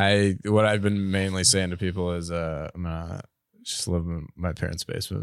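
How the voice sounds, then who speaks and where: Recorded very cleanly against a silent background, a plain, everyday voice moves at a moderate pace with ordinary pitch variation. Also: man. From Ontario, Canada. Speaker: comedian. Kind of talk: casual chat.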